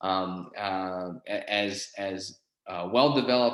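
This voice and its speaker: A man with a fairly low voice speaks in an American accent with ordinary pitch variation, and audible room echo surrounds him. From Southwestern Pennsylvania (Pittsburgh). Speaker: college professor. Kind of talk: lecture. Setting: live class presentation. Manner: many fillers and repetitions.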